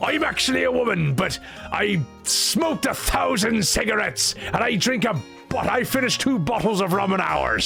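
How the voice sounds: Someone performs a put-on character voice over clear music in the background. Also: man, high pitch for a man, moderate pace.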